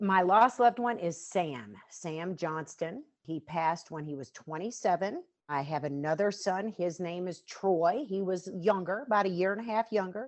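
An ordinary speaking voice from a woman with an American accent and a medium pitch. She speaks at a fairly slow pace with lively intonation. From Western North Carolina. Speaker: bereaved mother and fitness trainer. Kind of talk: interview testimony.

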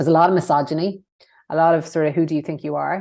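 In a west of Ireland accent, a woman speaks at a very fast pace. Her intonation is monotone and flat, and the background is quiet. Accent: west of Ireland Irish. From Ireland, County Mayo. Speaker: former politician, consultancy CEO. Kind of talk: interview. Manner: hesitant, many fillers.

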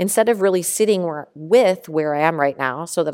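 On a very clean recording with a silent background, a woman with a plain, everyday voice speaks at a moderate pace in a fairly low register. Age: 40s. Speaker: podcast host, life coach. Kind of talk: solo podcast with guided journaling exercises. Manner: casual, conversational.

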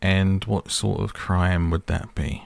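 A man's gruff, put-on character voice, low-pitched with vocal fry, at a slow pace and with fairly even intonation. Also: very clean recording, silent background.

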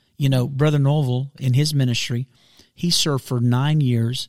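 Somewhat breathy, monotone, flat delivery at a moderate pace, with dry, close sound and no echo. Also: man. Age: 40s. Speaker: pastor. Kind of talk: casual chat. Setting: studio.

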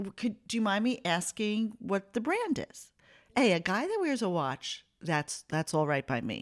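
An animated voice with vocal fry moves at a fairly slow pace through very wide pitch swings. The recording is very clean, with a silent background. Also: woman, fairly high pitch for a woman. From Italian-American family. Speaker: podcast co-host, host's mother. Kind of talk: casual chat. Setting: studio with microphones.

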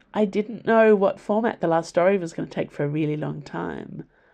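A woman with an Australian accent, medium pitch, ordinary pitch variation and a dark, mellow tone. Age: 40s. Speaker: author and podcaster. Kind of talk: casual monologue answering listener questions. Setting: home library.

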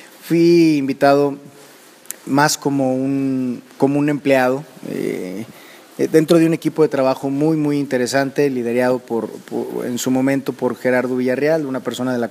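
Noticeable background noise accompanies speech at a moderate pace with fairly even intonation. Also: man. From Mexico. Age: 30s. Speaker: motivational speaker. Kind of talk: personal testimony. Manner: hesitant, many fillers.

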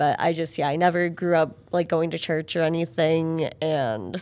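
In a very clean recording with a silent background, a woman with an American accent and a plain, everyday voice talks at a fairly slow pace, her fairly low pitch varying in an ordinary way. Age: 20s. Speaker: podcast guest. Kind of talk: casual chat.

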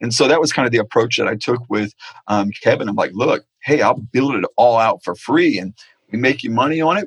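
Dry and close with no echo, a man's voice moves at a fairly quick pace. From Florida, Naples. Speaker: internet marketing expert. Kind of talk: interview conversation.

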